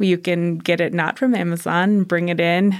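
A woman with a normal speaking voice talks at a fairly low pitch with fairly even intonation. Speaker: nonprofit volunteer coordinator. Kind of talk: casual interview chat.

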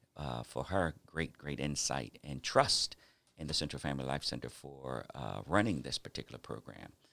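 Speaking at a moderate pace with ordinary pitch variation, a man with an American accent has a very deep, low pitch, a bright, sharp tone, and vocal fry. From New York City and South Jersey. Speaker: pastor and nonprofit director. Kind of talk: casual interview.

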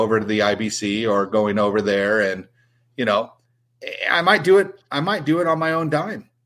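A man with an ordinary speaking voice talks at a moderate pace and medium pitch, with ordinary pitch variation, in a very clean recording with a silent background. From US West Coast, San Diego. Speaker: RC racing industry veteran. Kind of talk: casual chat.

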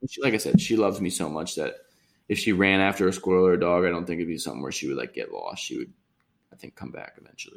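A man speaks very fast in an American accent. His loudness swings widely. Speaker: podcast co-host. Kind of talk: casual chat. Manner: halting, many fillers.

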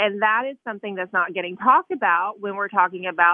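An ordinary speaking voice from a woman, medium in pitch with ordinary pitch variation. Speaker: political journalist. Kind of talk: casual interview.

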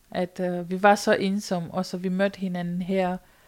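In a Romanian accent, a woman speaks at medium pitch and a moderate pace. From rural Romania. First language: Romanian (speaking Danish). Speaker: volunteer storyteller on loneliness. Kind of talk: personal testimony interview. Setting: sofa at a volunteer centre.

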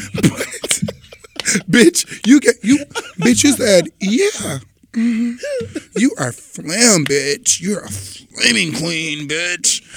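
Over noticeable background noise, a man with a high pitch speaks at a very slow pace with very wide pitch swings. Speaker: podcast co-host. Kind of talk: casual chat. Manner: animated.

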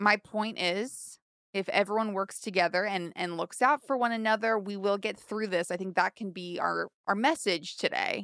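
In an ordinary speaking voice, a woman talks at medium pitch and a moderate pace with ordinary pitch variation, on a very clean recording with a silent background. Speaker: co-host. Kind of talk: comedy banter, playing the straight woman. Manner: dry, sarcastic.

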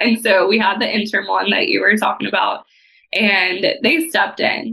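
A woman talks with a Texan accent at a fairly high pitch. Her voice has vocal fry. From Texas. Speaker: property manager. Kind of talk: casual chat.

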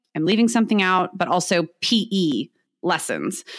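Lively intonation marks this woman's speech in a Californian accent, captured on a very clean recording with a silent background. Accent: Californian American English. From San Diego, California. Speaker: teacher. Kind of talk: interview conversation. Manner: talkative, outgoing.

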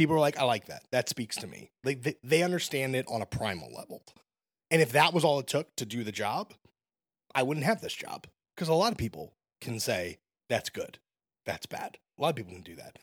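A man with an American accent talks at a fairly quick pace and medium pitch, with vocal fry, very wide pitch swings and big swings in loudness. His pauses are long and frequent, and the recording is very clean and dry, close with no echo against a silent background. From Brooklyn, New York. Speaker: music critic. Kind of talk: casual chat.

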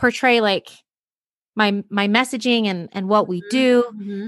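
A woman with an American accent speaks at a moderate pace in a bright, sharp, fairly high voice with fairly even intonation. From Utah, US. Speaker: entrepreneur and postpartum depression survivor. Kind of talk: interview, personal testimony. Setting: at home, kids nearby.

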